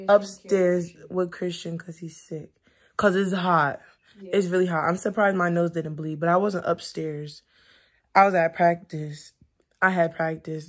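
Against a quiet background, a woman talks at a moderate pace in a fairly low pitch. Her intonation is monotone and flat. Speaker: vlogger. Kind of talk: casual vlog chat. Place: home room. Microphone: phone near.

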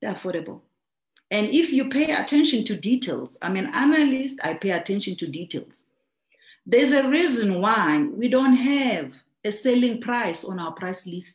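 A woman's somewhat breathy voice makes very wide pitch swings and big swings in loudness. Audible room echo surrounds it, with a quiet background. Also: moderate pace. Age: 30s. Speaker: network marketing trainer. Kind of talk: business training talk. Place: home room. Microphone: video call.

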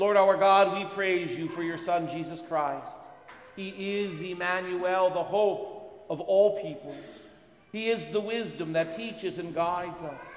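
A man's high voice with fairly even intonation, plus audible room echo. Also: fairly slow pace. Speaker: priest leading Mass. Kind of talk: liturgical prayer reading.

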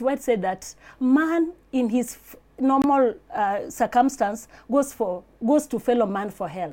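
A woman's high-pitched voice, dark and mellow in tone, with lively intonation, big swings in loudness and a fairly slow pace. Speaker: interview guest. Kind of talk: interview answer, personal testimony. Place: studio.

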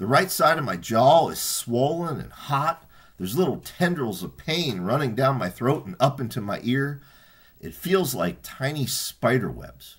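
Putting on a character voice, a man mumbles at a moderate pace and medium pitch, with lively intonation and big swings in loudness. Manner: mumbling.

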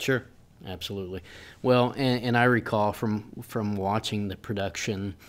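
A man speaks in a normal speaking voice with a fairly low pitch, ordinary pitch variation, and a moderate pace. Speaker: podcast host. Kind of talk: interview host questions. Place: meeting room.

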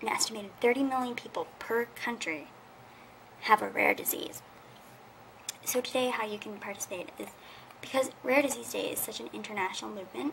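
Over light background noise, a woman with a Canadian accent talks at a fairly quick pace and fairly high pitch, with ordinary pitch variation, big swings in loudness, and long, frequent pauses. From Canada. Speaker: video blogger, rare disease advocate; awareness vlogger. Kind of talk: casual vlog, awareness message. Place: home room. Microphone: webcam.

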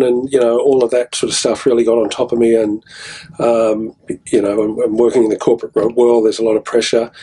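A man with an Australian accent and monotone, flat intonation. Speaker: music festival promoter. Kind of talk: casual chat. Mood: reflective, personal story. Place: studio. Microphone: studio mic.

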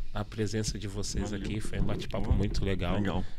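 Pitch moves in an ordinary way while noticeable background noise sits behind the voice. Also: man. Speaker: podcast host and poet; podcast host, poet. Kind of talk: casual chat. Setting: studio. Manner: animated. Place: studio. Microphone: studio mic.

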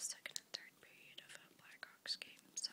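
Someone whispers, soft-spoken, against light background noise. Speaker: beauty vlogger. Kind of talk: casual vlog chat, page-through commentary. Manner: soft ASMR whisper, quick and casual. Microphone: phone near.

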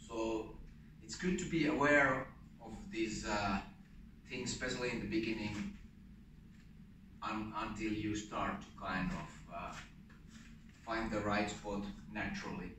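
Amid noticeable background noise and audible room echo, a man with a fairly low pitch and ordinary pitch variation speaks at a fairly slow pace with long, frequent pauses. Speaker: martial arts instructor. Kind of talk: tutorial. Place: gym. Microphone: camera far.

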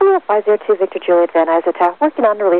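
A woman rattles along at a very fast pace with lively intonation, in a dry sound with no echo. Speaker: air traffic controller. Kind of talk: clipped air traffic control radio instructions. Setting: radio transmission. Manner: rapid, clipped clearance delivery. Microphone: two way radio.

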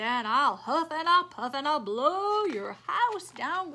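Putting on a character voice, a woman growls in a high pitch at a fairly slow pace. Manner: growling, menacing.

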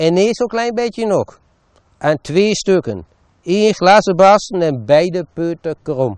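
A man in an Achterhoek accent at a very slow pace, with lively intonation and a dry sound with no echo over a quiet background. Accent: Winterswijk dialect (Achterhoek Low Saxon). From Achterhoek, eastern Gelderland. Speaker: local author and storyteller. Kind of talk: dialect short story reading. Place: garden. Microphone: lapel.

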